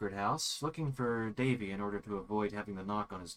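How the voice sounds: There is ordinary pitch variation. It is a natural reading voice.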